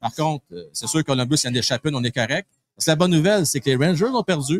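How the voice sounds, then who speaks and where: A man's fairly high voice at a very fast pace, with lively intonation and a dry, close sound free of echo. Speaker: hockey show host. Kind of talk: live pre-game sports talk. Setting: live broadcast from a pub.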